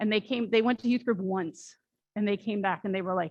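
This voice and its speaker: The sound is dry and close, with no echo. A woman speaks at a fairly quick pace. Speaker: church member presenting volunteer opportunities. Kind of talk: church announcement talk. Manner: fast.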